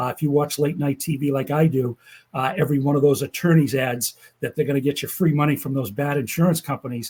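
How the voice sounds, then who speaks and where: A man talks at a very fast pace, somewhat breathy and pitched fairly high. His intonation stays fairly even. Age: 60s. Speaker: insurance agent. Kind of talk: casual interview.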